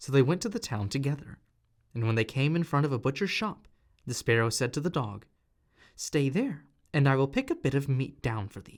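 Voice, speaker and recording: On a very clean recording with a silent background, a man with a normal speaking voice and a fairly high pitch talks at a fairly quick pace with lively intonation. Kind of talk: audiobook reading.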